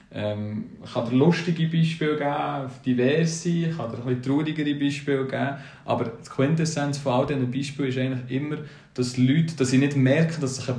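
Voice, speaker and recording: This man talks fairly quickly at a fairly high pitch with fairly even intonation, over noticeable background noise and audible room echo. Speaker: podcast co-host. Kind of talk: casual chat.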